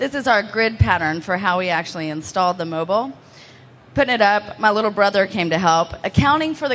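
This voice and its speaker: Speaking at a fairly quick pace with an American accent, a woman uses lively intonation at a medium pitch. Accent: Texan, strong right now. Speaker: interior designer. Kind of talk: award presentation. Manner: fast.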